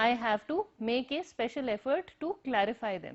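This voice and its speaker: A woman with an Indian accent and lively intonation. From northern India, Himachal. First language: Hindi, Punjabi, Urdu mixed. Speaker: university lecturer. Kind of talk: recorded lecture. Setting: empty classroom, recorded on camera.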